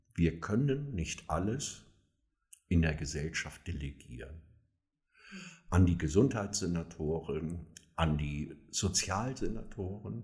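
Very slowly and with long, frequent pauses, a man with a very deep, low pitch speaks in a somewhat breathy voice with lively intonation. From northern Germany, near Kiel. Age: 60s. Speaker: social worker and homelessness advocate. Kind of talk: interview. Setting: in-person recording, same room.

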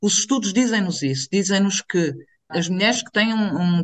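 The speaker talks at a moderate pace in an ordinary speaking voice. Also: woman. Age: 40s. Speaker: activist. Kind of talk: casual chat.

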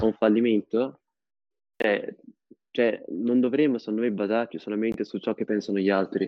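The pace is fairly quick. This man's voice is fairly low in pitch. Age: 20s. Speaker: university student. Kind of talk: casual discussion. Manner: halting, many fillers.

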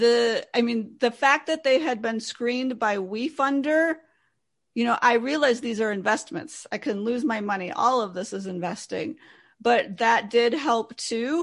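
Over a quiet background, a woman with an ordinary speaking voice talks at a fairly slow pace, her fairly high pitch showing ordinary pitch variation. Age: 50s. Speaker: investor and wealth coach. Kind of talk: interview.

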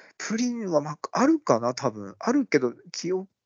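Speaking at a moderate pace, a man uses a fairly high voice whose pitch swings very widely. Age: 40s. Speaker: podcast co-host. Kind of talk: casual chat.

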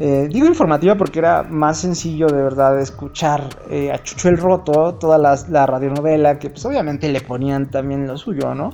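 Noticeable background noise sits behind a man with a fairly high pitch. He speaks at a moderate pace with ordinary pitch variation. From Mexico, Hidalgo. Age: 30s. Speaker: podcaster. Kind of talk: casual monologue. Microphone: phone recording.

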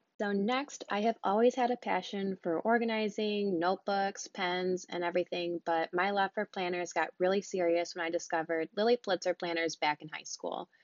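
Hardly pausing, a woman talks at a moderate pace. Her pitch is medium, with ordinary variation. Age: 20s. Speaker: podcast host and college student. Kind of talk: casual monologue.

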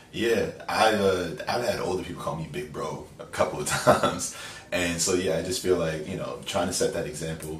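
A man with an American accent talks at a moderate pace, his loudness swinging widely, against noticeable background noise and audible room echo. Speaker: podcast guest, friend of host. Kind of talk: casual chat.

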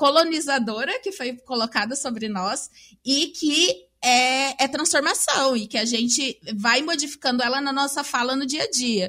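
High in pitch, this woman's voice carries a bright, sharp tone. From Maringá, Paraná, Brazil. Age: 20s. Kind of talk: casual chat.

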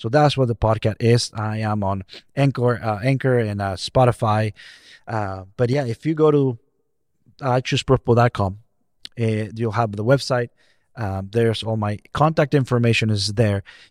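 At a moderate pace, a man talks with fairly even intonation, the sound dry and close with no echo, in a very clean recording with a silent background. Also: medium pitch for a man. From Mexico. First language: Spanish. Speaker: equity consultant and speaker. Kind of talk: podcast interview.

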